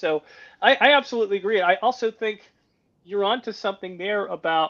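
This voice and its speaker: A man talks at a fairly quick pace with an American accent. His pitch variation is ordinary. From United States. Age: 60s. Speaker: security and defense expert. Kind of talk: interview conversation.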